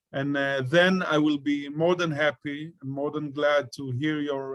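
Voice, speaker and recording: A man with an Israeli accent, a fairly high pitch, very slow pace and fairly even intonation. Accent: Israeli Hebrew-accented English. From Israel, Ashkelon. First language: Hebrew. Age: 40s. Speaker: peace activist. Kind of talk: talk to an online audience. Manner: halting, many fillers.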